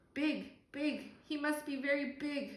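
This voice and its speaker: A woman's put-on character voice, high in pitch, with a slight echo. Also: fairly slow pace. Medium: read story. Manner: stammering.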